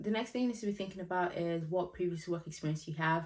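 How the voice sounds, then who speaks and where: The speaker is a woman with a fairly low pitch. She talks at a very fast pace. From Nigeria. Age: 20s. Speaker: YouTuber giving career advice. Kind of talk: casual vlog advice. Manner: animated, chatty.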